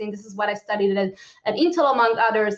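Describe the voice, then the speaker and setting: Her tone bright and sharp, a woman speaks with an Israeli accent. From Israel, Tel Aviv. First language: Hebrew. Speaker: lawyer and security policy expert giving a conference talk. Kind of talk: conference talk. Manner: fast, with many fillers.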